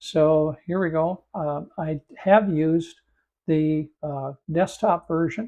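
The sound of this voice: Slow and croaky, a man speaks with a dark, mellow tone, a fairly high pitch and ordinary pitch variation.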